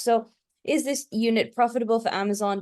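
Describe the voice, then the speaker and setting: A woman with a British accent talks at a fairly quick pace with fairly even intonation. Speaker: e-commerce agency co-founder, ex-Amazon manager. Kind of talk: webinar interview.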